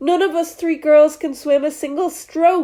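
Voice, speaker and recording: Putting on a squeaky character voice with an extremely high pitch, a woman speaks at a moderate pace. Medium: read story.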